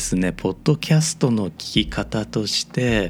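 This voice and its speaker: A man talks at a moderate pace, his pitch swinging very widely. His tone is dark and mellow, and somewhat breathy. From Osaka, Japan. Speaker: podcast host. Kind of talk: solo podcast monologue.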